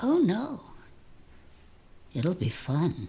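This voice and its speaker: A female-sounding voice puts on a character voice. The pitch is fairly low for a woman. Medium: short film. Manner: warm, folksy, old-fashioned endearments.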